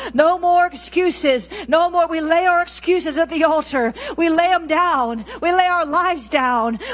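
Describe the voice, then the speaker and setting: A woman's extremely high pitch at a moderate pace with hardly any pauses, over light background noise. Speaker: church leader and prayer leader. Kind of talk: group prayer and intercession at a church gathering. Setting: church prayer meeting in Fort Lauderdale. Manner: fervent, declarative, repetitive. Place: church. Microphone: handheld.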